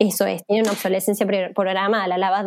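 A woman speaks in a plain, everyday voice at a medium pitch. Her pace is fairly quick. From Argentina, Villa María, Córdoba. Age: 30s. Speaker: fashion activist, NGO coordinator. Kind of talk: interview.

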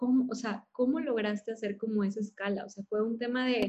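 A woman with a plain, everyday voice speaks at a moderate pace and a fairly high pitch, with ordinary pitch variation. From Monterrey, Mexico. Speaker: podcast host. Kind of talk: interview conversation.

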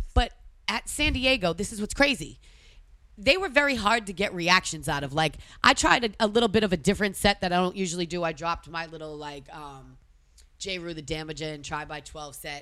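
A woman with a Boston accent speaks at a fairly quick pace in a fairly low pitch, her tone bright and sharp, her intonation lively, and her loudness swinging widely, all in a very clean recording with a silent background. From Massachusetts. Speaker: DJ and tour organizer. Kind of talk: casual chat.

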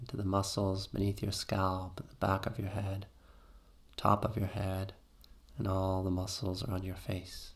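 Speaking in a soothing, calm tone, a man with a fairly low pitch sounds somewhat breathy and makes big swings in loudness. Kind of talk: guided meditation. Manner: slow, soothing, calm and gentle; rhythmic, repetitive, with long pauses.

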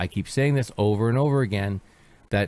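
A man with a Canadian accent, fairly low pitch and ordinary pitch variation. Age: 50s. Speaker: internet radio host. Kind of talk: casual monologue commentary. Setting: studio. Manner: repetitive, halting.

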